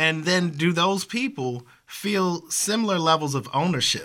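A man speaks in a bright, sharp tone. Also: very clean recording, silent background. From Baltimore. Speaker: podcast host, political scientist. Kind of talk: interview conversation. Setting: in-person sit-down interview.

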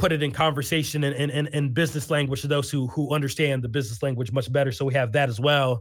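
A man talks fairly quickly in an ordinary speaking voice, pitched fairly high and with ordinary pitch variation. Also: very clean recording, silent background. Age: 30s. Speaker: poet and educator. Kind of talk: interview.

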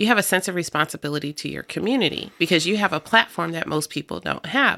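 Recorded very cleanly with a silent background, a woman speaks with an American accent and a bright, sharp tone. Her pitch is fairly low, with vocal fry. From US Midwest, Davenport, Iowa. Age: 50s. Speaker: radio host and community organizer. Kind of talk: casual interview chat. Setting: radio studio.

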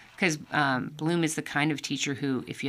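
At a moderate pace, a woman speaks with a very deep, low pitch and ordinary pitch variation in a very clean recording over a silent background. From US, army bases incl. Hawaii and Texas. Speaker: orchestral horn player. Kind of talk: interview.

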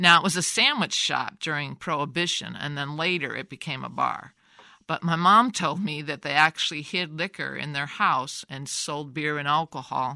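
In a very clean recording with a silent background, a woman with a very deep, low pitch and a bright, sharp tone speaks at a moderate pace with vocal fry and ordinary pitch variation. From US Midwest, Davenport, Iowa. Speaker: family storyteller. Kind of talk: elder telling family history, oral-history interview. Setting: studio. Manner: meandering, warmly reminiscent with soft laughs; halting, restarts words.

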